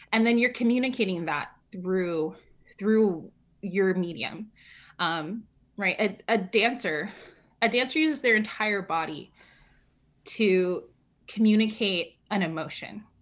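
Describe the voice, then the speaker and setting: A woman speaks with an energetic tone at medium pitch and ordinary pitch variation, keeping a fairly slow pace with long, frequent pauses in a very clean recording with a silent background. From California. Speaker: community organizer and writer. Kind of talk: interview. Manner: authoritative, not soft.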